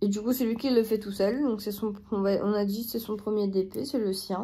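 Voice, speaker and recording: A woman's fairly high pitch, dark, mellow tone and fairly even intonation. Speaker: crafts youtuber. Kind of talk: casual chat. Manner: hesitant.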